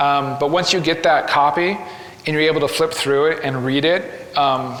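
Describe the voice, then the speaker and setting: A man at a fairly quick pace and fairly high pitch, with audible room echo and noticeable background noise. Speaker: graphic novelist giving a talk. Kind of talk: presentation to live audience. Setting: gallery with live audience. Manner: fast; hesitant, many fillers.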